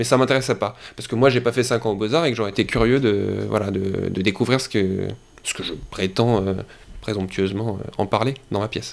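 Ordinary pitch variation and a fairly quick tempo from a man. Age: 20s. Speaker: actor and playwright. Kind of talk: casual interview. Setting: podcast interview. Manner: animated.

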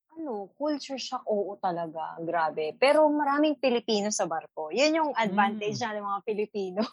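A woman talks at a fairly quick pace in a fairly high pitch, with hardly any pauses. Her pitch swings very widely. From Philippines. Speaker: cruise ship photographer. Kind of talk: casual chat. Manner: stumbling over words.

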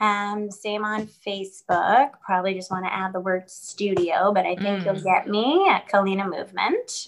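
With an American accent, a woman uses an ordinary speaking voice at a medium pitch, keeping a moderate pace, fairly even intonation and hardly any pauses. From New York. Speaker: dancer and fitness instructor. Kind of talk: casual chat.

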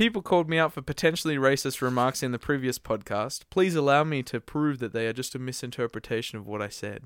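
A man with an Australian accent at a very fast pace, hardly any pauses, medium pitch and ordinary pitch variation, on a very clean recording with a silent background and a dry, close sound with no echo. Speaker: podcast co-host and band musician. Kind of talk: casual chat. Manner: animated.

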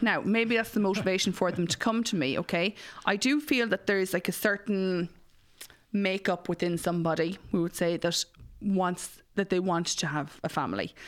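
With an Irish Midlands accent, a woman speaks at a medium pitch and a moderate pace with ordinary pitch variation. Her loudness is very even, and the recording is very clean with a silent background. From Ireland, Mullingar (Westmeath). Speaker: matchmaker and podcast host. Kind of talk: casual interview chat.

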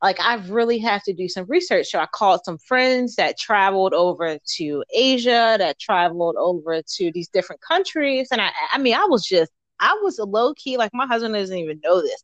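A woman with an American accent speaks at a moderate pace, her pitch swinging very widely. The sound is dry and close with no echo, over a quiet background. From Baltimore, Maryland. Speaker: entrepreneur and soldier. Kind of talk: interview.

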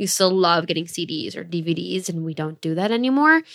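This woman has a bright, sharp tone, an American accent and ordinary pitch variation. The recording is very clean, with a silent background. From Michigan, Detroit area. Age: 20s. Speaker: podcast co-host. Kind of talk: casual chat. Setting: hotel room.

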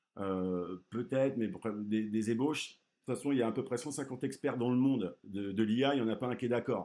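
A man's medium-pitched voice with a dark, mellow tone, on a very clean recording with a silent background. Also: ordinary pitch variation, moderate pace. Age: 30s. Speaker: business school program director and AI speaker. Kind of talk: interview.

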